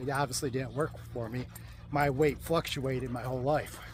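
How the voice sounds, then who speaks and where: Somewhat breathy male voice, fairly high in pitch, at a moderate pace. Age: 60s. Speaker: carnivore diet vlogger. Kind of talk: casual talk to camera while walking. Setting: outdoors. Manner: hesitant, many fillers.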